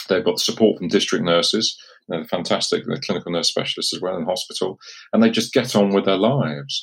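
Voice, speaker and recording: Fairly quick speech from a man with an English accent. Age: 50s. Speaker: consultant urologist. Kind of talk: casual chat.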